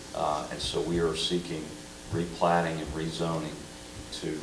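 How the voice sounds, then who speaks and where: Amid noticeable background noise and audible room echo, a man with a very deep, low pitch talks at a moderate pace. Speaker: business representative at public meeting. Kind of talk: public comment at city council meeting. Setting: city council chamber. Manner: hesitant, many fillers.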